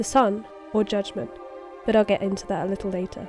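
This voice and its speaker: Over music in the background, a woman speaks at a medium pitch. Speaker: digital artist. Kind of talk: art timelapse narration with game lore.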